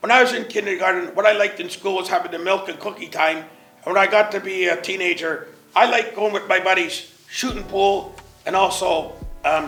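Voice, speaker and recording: Clear background noise sits under a man with a Canadian accent. He speaks fairly quickly at a high pitch, with fairly even intonation. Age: 70s. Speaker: community senior resident. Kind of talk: interview testimony.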